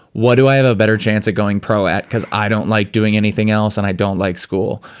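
With an American accent, a man speaks in an ordinary speaking voice at a medium pitch and a fairly quick pace, on a very clean recording with a silent background. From Chicago suburbs, US Midwest. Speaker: spoken word poet and speaker, former Broadway actor. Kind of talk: interview conversation. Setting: studio.

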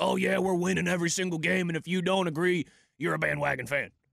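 In a put-on character voice, a man talks very fast at a high pitch, with fairly even intonation and very even loudness. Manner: smug, mocking.

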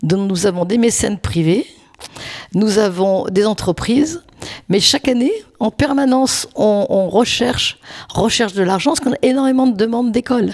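Over noticeable background noise, a woman with a fairly high voice and lively intonation speaks at a moderate pace at a very even loudness, with long, frequent pauses. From France, Lyon. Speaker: charity volunteer. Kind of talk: casual interview.

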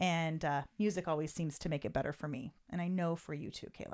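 A woman with an animated tone at a moderate pace, in a very clean recording with a silent background. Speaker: podcast host. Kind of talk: casual chat. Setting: studio, close to mics. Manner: animated, laughs often.

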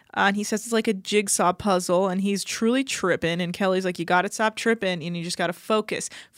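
A woman with an unremarkable speaking voice talks at a fairly quick pace with hardly any pauses and ordinary pitch variation, on a very clean recording with a silent background. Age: 30s. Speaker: podcast co-host recapping a reality TV show. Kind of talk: casual chat.

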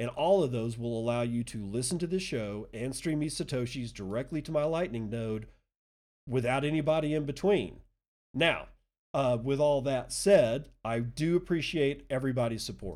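Here a man talks at a moderate pace. His pitch is medium, with ordinary pitch variation. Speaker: podcast host. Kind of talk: solo podcast monologue. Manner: jovial.

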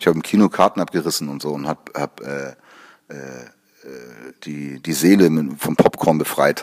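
Pausing long and often, a man speaks in a very deep, low pitch. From Hamburg, northern Germany. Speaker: music producer and composer. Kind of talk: interview. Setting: studio.

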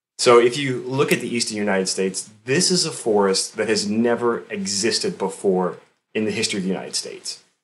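A normal speaking voice with an American accent, lively intonation and a fairly quick pace. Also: man, medium pitch for a man. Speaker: forester. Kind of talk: casual interview.

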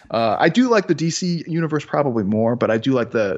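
Here a man speaks with a Chicago accent. His intonation is lively. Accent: Chicago American. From US Midwest, Chicago. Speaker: sports scientist. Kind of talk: casual interview Q&A.

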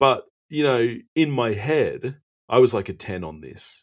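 A man with an Australian accent speaks with lively intonation on a very clean recording with a silent background. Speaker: movie podcast guest. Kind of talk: casual chat. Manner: calm and tranquil.

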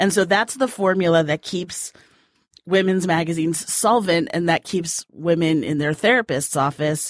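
A woman's fairly low pitch, an ordinary speaking voice at a moderate pace, ordinary pitch variation, dry, close sound with no echo. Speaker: magazine editor. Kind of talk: casual chat.

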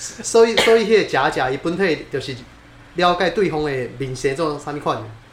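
Moderate pace, with noticeable background noise. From Taiwan, Taipei (Neihu). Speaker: podcast co-host. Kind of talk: casual chat.

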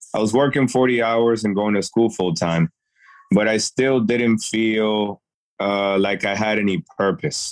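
A man with an American accent speaks at a fairly slow pace and a fairly even intonation, in a dry, close sound with no echo. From Worcester, Massachusetts (born Dominican Republic). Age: 30s. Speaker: amateur cyclist. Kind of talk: interview.

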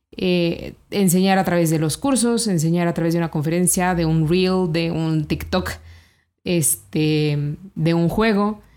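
A woman's fairly low, dark, mellow voice at a fairly slow pace, with ordinary pitch variation and very even loudness. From Mexico, Celaya, Guanajuato. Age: 30s. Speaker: financial educator and entrepreneur. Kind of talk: interview.

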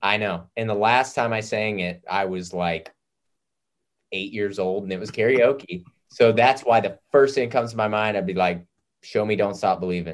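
A man's fairly low voice with an American accent, ordinary pitch variation and a moderate pace. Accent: lacks his father's Southern country. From US South, Nashville. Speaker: singer-songwriter. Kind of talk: casual chat.

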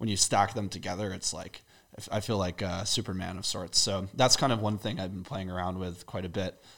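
An unremarkable speaking voice with an American accent, delivered at a fairly quick pace with fairly even intonation on a very clean recording against a silent background. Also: man. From US, Maryland. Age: 20s. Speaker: skincare brand founder. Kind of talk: casual interview. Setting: in person studio.

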